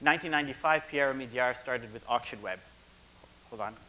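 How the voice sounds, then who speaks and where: A man talks at a medium pitch. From Canada. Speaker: tech executive. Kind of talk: conference presentation. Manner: loud.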